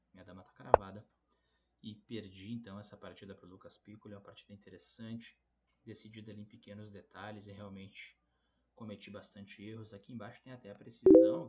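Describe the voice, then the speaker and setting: Speaking in a plain, everyday voice, a man talks at a fairly quick pace with a fairly low pitch. His pitch variation is ordinary, with big swings in loudness. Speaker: chess player and YouTuber. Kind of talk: chess game analysis video. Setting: borrowed laptop, tournament lodging.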